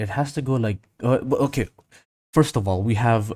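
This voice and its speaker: A somewhat breathy male voice at medium pitch with ordinary pitch variation, on a very clean recording with a silent background. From Indonesia. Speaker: 3D animation live streamer. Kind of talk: casual live stream tutorial. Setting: live stream reading chat. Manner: halting, many self-corrections.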